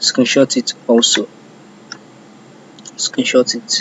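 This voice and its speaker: A fairly slow pace and a non-native accent, with noticeable background noise. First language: not English. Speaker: cybersecurity intern. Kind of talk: screen-share tutorial. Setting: self-recorded screen recording. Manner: halting.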